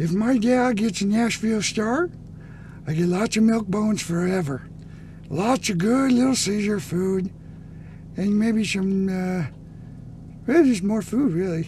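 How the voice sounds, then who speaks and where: A put-on character voice moves at a moderate pace, broken by long, frequent pauses. Clear background noise runs underneath. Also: man, high pitch for a man. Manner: playful, food-driven.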